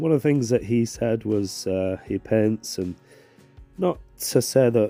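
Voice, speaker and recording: Over music in the background, a man speaks at a fairly low pitch and a fairly slow pace. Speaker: watercolour painting tutor. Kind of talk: casual tutorial talk.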